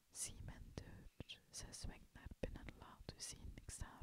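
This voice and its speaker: A man whispers at a very slow pace. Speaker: whisper-style reader. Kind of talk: poetry reading. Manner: whispered, soft-spoken.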